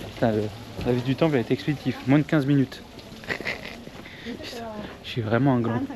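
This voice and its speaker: Medium-pitched male voice at a fairly quick pace, with long, frequent pauses, fairly even intonation and noticeable background noise. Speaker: travel vlogger. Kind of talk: casual vlog. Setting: outdoors. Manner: casual slangy; soft-spoken.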